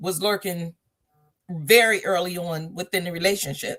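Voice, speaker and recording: At a moderate pace, a woman speaks in a plain, everyday voice of medium pitch with ordinary pitch variation. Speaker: talk show host and author. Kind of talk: casual conversational talk.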